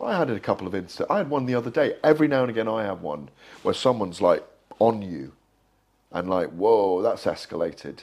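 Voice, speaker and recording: Vocal fry runs through very fast speech with very wide pitch swings. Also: man, medium pitch for a man. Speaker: boxing journalist. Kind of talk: interview.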